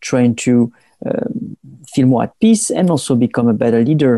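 With a French accent, a man speaks at medium pitch and a moderate pace. His tone is dark and mellow, and the sound is dry and close with no echo. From southern France.

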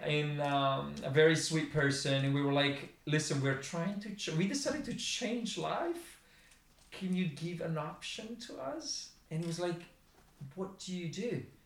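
A man with an Italian accent speaks at a fairly slow pace in a high pitch, his intonation lively. Audible room echo and noticeable background noise fill the recording. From Milan, Italy. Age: 40s. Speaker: designer and former graffiti artist. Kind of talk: casual interview. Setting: studio. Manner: halting.

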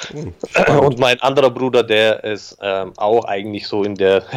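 A man with an ordinary speaking voice talks at a medium pitch, with fairly even intonation and a fairly slow pace. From Germany, Augsburg (Bavarian Swabia). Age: 30s. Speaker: digital agency owner. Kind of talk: interview. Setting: remote call.

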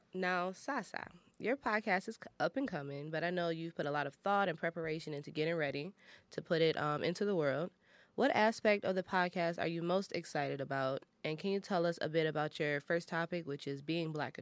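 Speaking fairly quickly in an American accent, a woman with an unremarkable speaking voice and fairly low pitch shows ordinary pitch variation in a very clean recording with a silent background. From Detroit. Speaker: college radio podcast host. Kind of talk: casual chat. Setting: studio.

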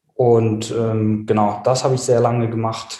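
A man speaks at a fairly slow pace with medium pitch, fairly even intonation and a dark, mellow tone. His voice is somewhat breathy, and audible room echo surrounds it. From South Tyrol, Italy. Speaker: web design agency owner. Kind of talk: interview.

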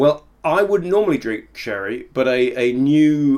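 With a British accent, the speaker talks at a fairly slow pace in a very clean recording with a silent background. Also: man. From Britain. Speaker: podcast co-host. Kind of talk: casual banter podcast chat. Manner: joking, teasing.

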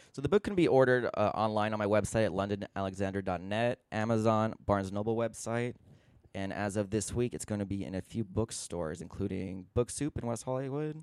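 Here a man with an American accent talks in an unremarkable speaking voice at a fairly quick pace, his fairly low pitch showing ordinary pitch variation. The very clean recording has a silent background and a dry, close sound with no echo. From Southern California, San Gabriel Valley. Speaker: author. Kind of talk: interview.

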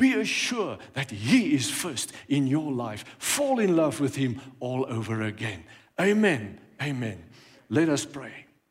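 Amid noticeable background noise, a man with a fairly high pitch speaks very slowly, his pitch swinging very widely. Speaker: pastor. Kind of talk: sermon.

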